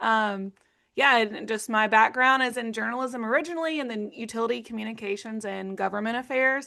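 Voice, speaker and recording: The speaker has an Arkansas accent and a bright, sharp tone, moving at a fairly quick pace. Pitch variation is ordinary, and the background is quiet. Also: woman, fairly high pitch for a woman. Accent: Arkansas Southern US. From Arkansas, US South. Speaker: nonprofit executive director, former utility communicator. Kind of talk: video-call interview.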